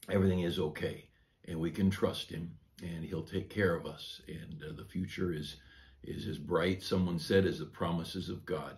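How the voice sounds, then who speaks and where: A man with a very deep, low pitch and a somewhat breathy voice speaks at a moderate pace with fairly even intonation. His loudness swings widely, and room echo is audible. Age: 60s. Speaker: pastor. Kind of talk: devotional sermon. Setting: church office. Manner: conversational with frequent fillers.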